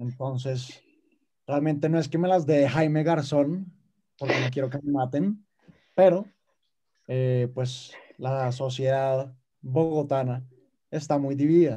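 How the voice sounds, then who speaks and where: A man speaks at a very slow pace, with long, frequent pauses and fairly even intonation. His fairly high-pitched voice is somewhat breathy, with a dark, mellow tone. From Colombia, Bogotá. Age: 18. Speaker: TikToker and acting student. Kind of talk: casual chat.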